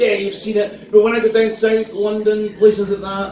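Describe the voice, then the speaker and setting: A man with a Scottish accent speaks at a moderate pace in a high, flat monotone. Noticeable background noise and audible room echo fill the recording. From Scotland, Perth. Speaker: stand-up comedian. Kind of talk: stand-up. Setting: stage with audience.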